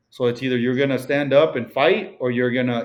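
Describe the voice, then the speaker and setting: With a Mexican accent, a man speaks at a fairly quick pace in a medium pitch, his pitch variation ordinary. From Mexico. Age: 30s. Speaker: real estate broker. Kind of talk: podcast interview. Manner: casual, many fillers.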